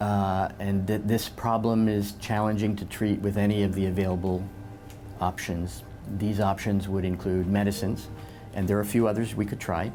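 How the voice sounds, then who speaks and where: Over background music, a man speaks at a moderate pace in a fairly low, monotone, flat voice. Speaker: neurologist. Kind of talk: doctor explaining diagnosis to patient.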